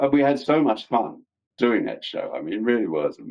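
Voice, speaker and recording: A man with a London accent. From London, England. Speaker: actor. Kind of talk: interview answer.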